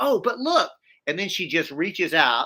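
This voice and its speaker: In a very clean recording with a silent background, a man with a Southern US accent and a bright, sharp tone makes very wide pitch swings. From US South. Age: 50s. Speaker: activist. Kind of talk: interview.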